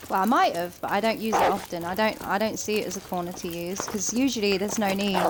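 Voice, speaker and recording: With a Kent accent, a woman talks very fast at a medium pitch, with hardly any pauses. Her pitch varies in an ordinary way, and background noise is noticeable. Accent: southern English, sounds like Kent. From southeast England. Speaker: gaming streamer. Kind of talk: live gameplay commentary. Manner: casual, chatty.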